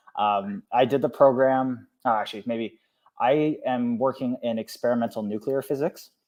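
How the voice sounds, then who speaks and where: A man with a Canadian accent, an unremarkable speaking voice, medium pitch, and a moderate pace. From eastern Canada. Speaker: PhD student and former program mentor. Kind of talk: casual podcast interview.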